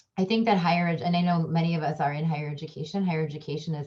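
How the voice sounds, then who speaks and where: A woman with a Midwestern accent speaks at a very fast pace in a very deep, low pitch. Her tone is dark, mellow and somewhat breathy, with ordinary pitch variation. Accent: American, Midwest. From US Midwest, Chicago suburbs. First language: a language of India. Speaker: communication professor and diversity trainer. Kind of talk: panel discussion. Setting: online panel. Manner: hesitant, many fillers.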